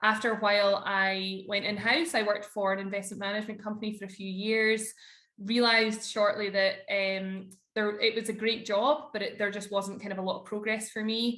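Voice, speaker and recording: In a Scottish accent, a woman talks at a fairly quick pace and a medium pitch with fairly even intonation. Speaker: corporate lawyer. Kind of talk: podcast interview.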